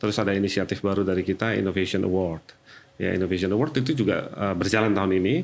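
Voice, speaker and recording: This man speaks with a very deep, low pitch. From Jakarta, Indonesia. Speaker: HR manager. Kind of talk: podcast interview.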